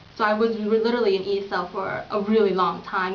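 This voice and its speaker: A woman's medium-pitched voice with fairly even intonation, set against noticeable background noise and audible room echo. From Vietnam, raised in small-town US from age four. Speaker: interviewee, Vietnamese immigrant. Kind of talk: interview. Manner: hesitant, with frequent fillers.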